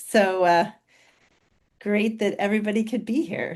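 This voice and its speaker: Loud and with a dark, mellow tone, a woman speaks at a fairly slow pace. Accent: American. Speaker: physician and company co-founder. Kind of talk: webinar presentation. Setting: video call webinar.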